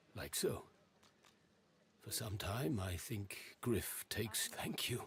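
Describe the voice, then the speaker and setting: A man whispering in a put-on character voice at a fairly slow pace. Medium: video game. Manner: halting, evasive, odd phrasing.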